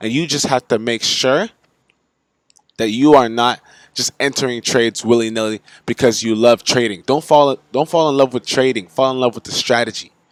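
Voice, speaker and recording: In a normal speaking voice with an American accent, a man talks at a moderate pace and medium pitch with fairly even intonation, recorded dry and close with no echo. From United States. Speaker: forex trading youtuber. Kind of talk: casual tutorial. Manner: casual, filler-heavy.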